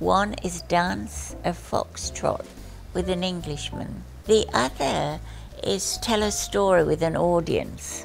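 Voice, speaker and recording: Faint background music can be heard. Over it, a woman talks at a very slow pace. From Australia. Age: 80s+. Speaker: retired nurse, comedian. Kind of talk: interview answer. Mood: cheerful, witty. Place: home room.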